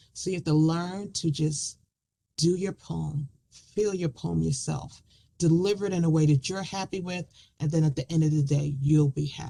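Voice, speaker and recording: The voice has a dark, mellow tone. Its pitch moves up and down in an ordinary way. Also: woman. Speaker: poet. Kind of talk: talk about writing and performing poetry.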